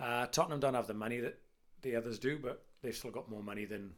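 Speaking at a fairly quick pace, a man with an unremarkable speaking voice keeps to a medium pitch with ordinary pitch variation. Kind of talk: casual chat.

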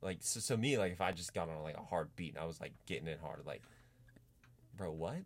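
Talking at a fairly quick pace with long, frequent pauses, a man with an American accent uses a very deep, low pitch and lively intonation. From US, Pittsburgh, Pennsylvania. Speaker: musician. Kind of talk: casual chat. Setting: studio.

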